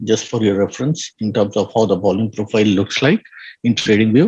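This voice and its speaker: This man's voice is somewhat breathy with a dark, mellow tone, moving at a fairly quick pace over a quiet background. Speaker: trading educator. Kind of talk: online lecture.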